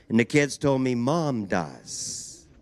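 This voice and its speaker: This man speaks with a Canadian accent at a medium pitch, with ordinary pitch variation and an ordinary speaking voice. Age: 60s. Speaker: drag strip announcer. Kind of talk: PA announcement.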